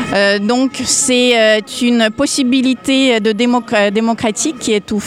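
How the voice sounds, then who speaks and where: A woman's fairly high voice at a very slow pace, fairly even in intonation, over noticeable background noise. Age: 40s. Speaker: citizen activist. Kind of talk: street interview. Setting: outdoors on a public square. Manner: hesitant, many fillers.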